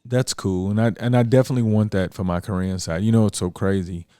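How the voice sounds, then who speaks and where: Ordinary pitch variation runs through a voice that is dark and mellow in tone. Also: man, very clean recording, silent background. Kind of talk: casual chat. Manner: fast.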